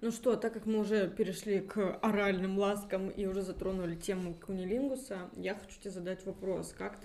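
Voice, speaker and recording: Her delivery is monotone and flat as a woman speaks at a moderate pace and a medium pitch. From Russia. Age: 30s. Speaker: podcast host. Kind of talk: casual chat.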